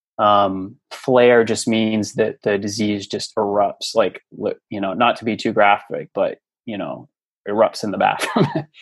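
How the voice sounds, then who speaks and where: In an ordinary speaking voice, a man speaks at a fairly slow pace with a fairly low pitch and fairly even intonation. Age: 30s. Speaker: podcast guest sharing healing story. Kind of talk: casual interview.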